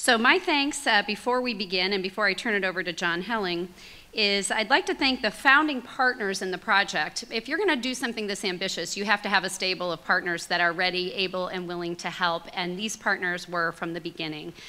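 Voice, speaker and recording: A woman speaks at a fairly quick pace with hardly any pauses. Her pitch variation is ordinary. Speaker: nonprofit executive and event co-host. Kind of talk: event hosting. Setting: stage with audience. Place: hall. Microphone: podium.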